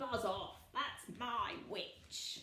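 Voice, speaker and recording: A put-on character voice comes out growling and croaky. There is a slight echo. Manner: threatening, gruff.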